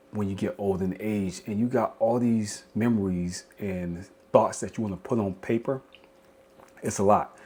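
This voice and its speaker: A man speaks at a fairly low pitch with a strong Southern US accent. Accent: strong Southern rural. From South Carolina. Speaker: podcast host. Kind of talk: casual podcast monologue. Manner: rambling with repetitions.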